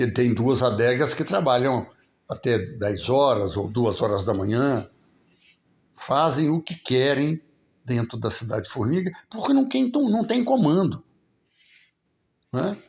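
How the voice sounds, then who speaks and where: The voice swings very widely in pitch and is somewhat breathy, moving at a very slow pace with long, frequent pauses in a very clean recording with a silent background. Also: man, medium pitch for a man. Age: 70s. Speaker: local political commentator. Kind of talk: live stream commentary. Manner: casual, conversational.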